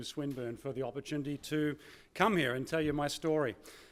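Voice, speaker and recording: Speaking with an Australian accent, a man uses a fairly high pitch and fairly even intonation at a moderate pace. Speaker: keynote speaker, former corporate manager. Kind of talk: conference keynote speech. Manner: hesitant, many fillers.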